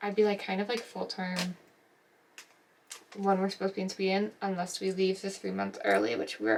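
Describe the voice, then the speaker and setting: A soft-spoken woman talks at a moderate pace. Noticeable background noise sits behind her. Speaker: nurse vlogger. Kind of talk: casual vlog. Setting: at home. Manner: hesitant, filler-heavy.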